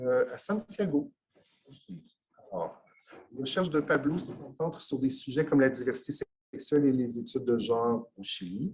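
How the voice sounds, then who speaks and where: Somewhat breathy, a man with a fairly high pitch and lively intonation speaks with long, frequent pauses. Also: moderate pace. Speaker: conference host. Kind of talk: formal introduction. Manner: hesitant, frequent filler.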